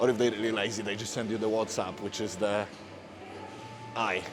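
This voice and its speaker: In a room with audible echo and noticeable background noise, a man with a Polish accent speaks at a fairly quick pace in a fairly low, monotone, flat voice. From Poland. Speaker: fitness coach. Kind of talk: casual vlog talk to camera. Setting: gym, public place. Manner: halting, non-fluent English.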